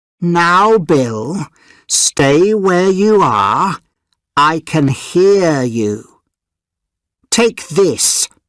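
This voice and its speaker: Using a put-on character voice, a man speaks at a high pitch and a very slow pace with long, frequent pauses, on a very clean recording with a silent background. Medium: read story.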